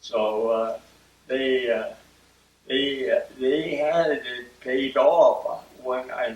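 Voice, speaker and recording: A man with a Midwestern US accent at a very slow pace, with noticeable background noise. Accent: US Midwest. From US Midwest, Akron, Ohio. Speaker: oral history interviewee. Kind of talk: oral history interview. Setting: at home. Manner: halting, many fillers.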